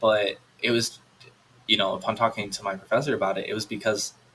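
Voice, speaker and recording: A man speaks in a plain, everyday voice, fairly low-pitched, with an American accent and a fairly quick pace. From United States. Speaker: college student back from study abroad. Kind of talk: casual chat.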